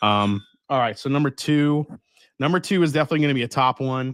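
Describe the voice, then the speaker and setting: Recorded very cleanly against a silent background, with a dry, close sound and no echo, a man speaks in a Long Island accent. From Long Island, New York. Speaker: whiskey livestream host. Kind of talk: casual live tasting chat. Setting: livestream from home whiskey room. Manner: animated.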